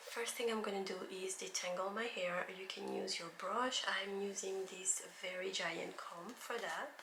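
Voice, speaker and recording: A woman's medium-pitched voice at a fairly slow pace, with fairly even intonation, hardly any pauses and noticeable background noise. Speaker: hair tutorial vlogger. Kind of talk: casual tutorial talk to camera.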